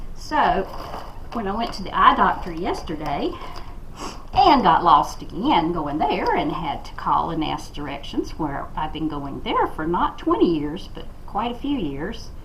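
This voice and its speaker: A woman speaks at a fairly slow pace with big swings in loudness, amid audible room echo and noticeable background noise. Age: 60s. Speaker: crafting vlogger. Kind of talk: casual chat while crafting. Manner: halting.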